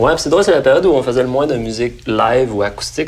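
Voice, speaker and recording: A man with a Quebec accent speaks at a very fast pace over noticeable background noise. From Saint-Nicolas, near Quebec City, Quebec. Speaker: singer-songwriter. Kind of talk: interview answer. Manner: casual, conversational.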